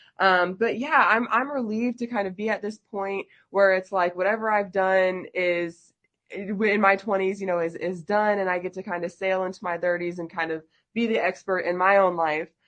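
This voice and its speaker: Her pitch medium and her intonation fairly even, a woman speaks at a moderate pace. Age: 20s. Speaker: podcast host. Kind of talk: casual interview chat. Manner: halting.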